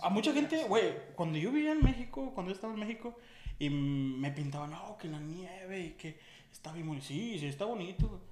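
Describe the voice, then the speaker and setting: A man talks at a fairly quick pace in a high pitch, with very wide pitch swings and big swings in loudness, over noticeable background noise and audible room echo. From Mexico, Aguascalientes. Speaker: podcast co-host. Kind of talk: casual chat.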